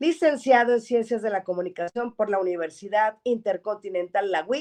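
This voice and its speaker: This woman has a plain, everyday voice. She talks at a moderate pace with lively intonation. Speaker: radio show host. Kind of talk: program host introducing a guest.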